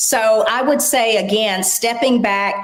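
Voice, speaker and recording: Audible room echo surrounds a woman speaking very slowly at a fairly high pitch. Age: 60s. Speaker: aging advocate and corporate professional. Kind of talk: interview.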